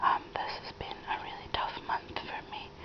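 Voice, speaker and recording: A woman's soft-spoken whisper with a sad tone at a fairly slow pace, over noticeable background noise. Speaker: crafting vlogger. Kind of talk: casual vlog chat. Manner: soft whisper, sharing sad news. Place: home room. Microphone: phone near.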